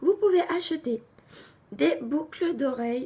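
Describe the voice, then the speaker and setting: A woman speaks with lively intonation. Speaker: craft YouTuber. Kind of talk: tutorial.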